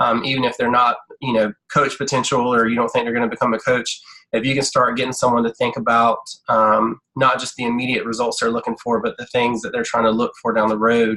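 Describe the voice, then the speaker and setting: A man speaks at a medium pitch and a fairly quick pace, his intonation monotone and flat and his tone bright and sharp. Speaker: health coach trainer. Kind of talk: online team training presentation. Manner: fast talker.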